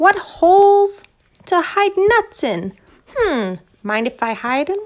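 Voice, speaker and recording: A woman performs a put-on character voice. It is extremely high in pitch and fairly slow in pace. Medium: read story. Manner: sly.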